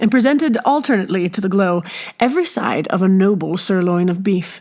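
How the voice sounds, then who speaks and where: Here is a woman with an ordinary speaking voice. Her pitch is medium. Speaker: audiobook narrator. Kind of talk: audiobook reading.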